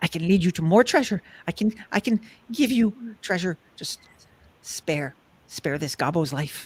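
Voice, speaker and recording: At a middle pitch and a moderate pace, the speaker performs a put-on character voice. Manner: pleading, begging for mercy.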